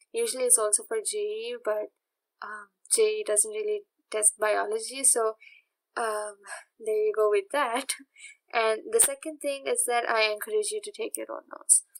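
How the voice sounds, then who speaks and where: In a dry, close sound with no echo, a woman speaks at a moderate pace with long, frequent pauses. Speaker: online science tutor. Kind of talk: tutorial. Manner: hesitant, many fillers.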